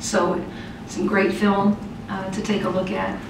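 Room echo is audible around this woman's voice. Beneath it, background noise is noticeable. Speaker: head coach. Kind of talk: interview answer. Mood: calm, reflective. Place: meeting room. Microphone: podium.

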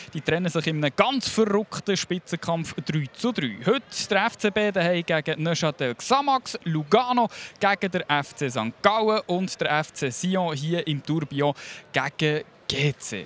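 Speaking at a fairly slow pace, a man with a Swiss accent has a high pitch and lively intonation. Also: dry sound with no echo. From Switzerland. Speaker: TV football show host. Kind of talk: studio sports show presenting. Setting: TV broadcast at the stadium.

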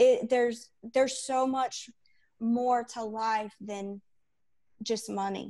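At a very slow pace with long, frequent pauses, a woman speaks at a fairly high pitch in a dark, mellow tone, her intonation monotone and flat against a quiet background. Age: 40s. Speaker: fitness coaching client. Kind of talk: testimonial interview. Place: home room. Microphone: earbuds.

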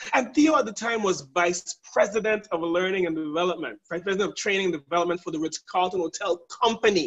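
The man's tone is animated and his pace moderate. The background is quiet. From US Virgin Islands (St. Thomas). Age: 40s. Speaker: leadership trainer. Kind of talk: webinar hosting. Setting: video call. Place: home room. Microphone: video call.

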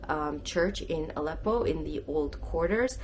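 Talking at a fairly slow pace, the woman is heard against noticeable background noise. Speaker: travel vlogger. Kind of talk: casual vlog chat. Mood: earnest, a little somber. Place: home room. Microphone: phone near.

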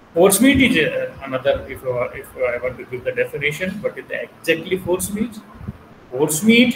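Audible room echo and light background noise surround a man speaking in a high pitch. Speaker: culinary instructor. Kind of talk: lecture. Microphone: webcam.

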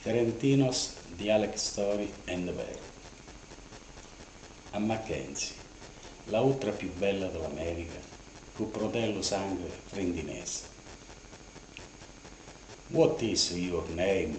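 Over light background noise and audible room echo, a man with a fairly low pitch speaks very slowly with long, frequent pauses. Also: lively intonation. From Ferentino, Italy. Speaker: dialect storyteller. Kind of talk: dialect storytelling monologue. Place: home room. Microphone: camera far.

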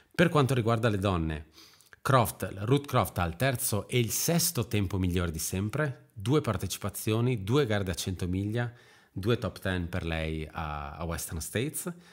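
Talking at a fairly slow pace, a man with a fairly low pitch makes very wide pitch swings. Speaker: podcast host. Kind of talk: casual chat. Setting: video call.

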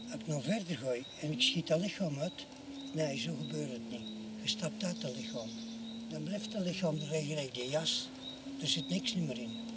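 A man with a fairly high pitch speaks at a moderate pace in very wide pitch swings. The sound is dry with no echo, yet loud background noise is present. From Flanders. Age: 70s. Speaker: documentary subject. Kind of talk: documentary interior monologue. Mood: reflective, wistful.

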